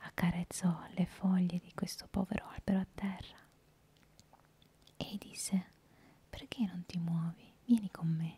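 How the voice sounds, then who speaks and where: Somewhat breathy and dark, mellow in tone, a woman speaks with fairly even intonation. Her pace is fairly slow, with long, frequent pauses. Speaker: storyteller. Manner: soft close-mic whisper, storytelling. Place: home room. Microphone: handheld.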